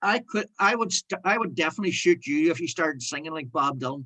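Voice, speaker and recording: A man with a Northern Irish accent uses a raised, projected voice with a bright, sharp tone, speaking at a fairly quick pace with very wide pitch swings. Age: 60s. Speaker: broadcaster. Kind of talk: casual chat. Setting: video call.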